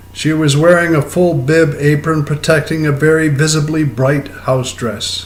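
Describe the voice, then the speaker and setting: Speaking very slowly with an American accent, a man with a fairly high voice is heard with audible room echo. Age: 70s. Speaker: poet. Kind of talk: poetry reading.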